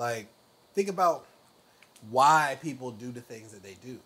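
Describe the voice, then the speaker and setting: With light background noise behind him, a man at a medium pitch speaks with lively intonation. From US South. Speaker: truck driver; guest youtuber. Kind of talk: casual chat. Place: home room. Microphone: lapel.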